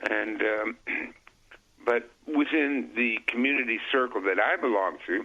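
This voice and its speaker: Fairly slow and very even in loudness, a man talks at a medium pitch with vocal fry and ordinary pitch variation. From Canada. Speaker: political commentator. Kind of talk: casual interview chat.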